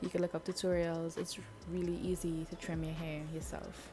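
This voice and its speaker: This woman speaks at a moderate pace. Behind her, music can be heard. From Trinidad. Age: 20s. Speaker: YouTuber. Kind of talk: hair tutorial talk to camera.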